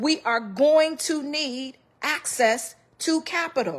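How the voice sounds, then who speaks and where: Against a quiet background, a woman speaks at a high pitch. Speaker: personal finance commentator. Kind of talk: financial advice monologue. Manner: emphatic, exhorting.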